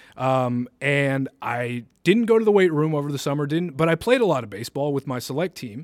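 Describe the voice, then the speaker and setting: Delivered in a plain, everyday voice, the speech moves at a fairly quick pace with lively intonation and hardly any pauses, in a dry, close sound with no echo. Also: man, fairly high pitch for a man. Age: 20s. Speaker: college podcast co-host. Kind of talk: casual chat.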